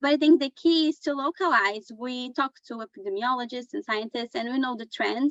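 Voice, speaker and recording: Speaking in a Portuguese accent, a woman talks fairly quickly at a high pitch. Her loudness swings widely. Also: ordinary pitch variation, hardly any pauses. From Brazil. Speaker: journalist. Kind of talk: panel discussion.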